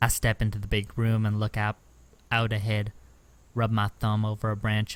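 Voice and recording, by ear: The words are read aloud in a natural voice.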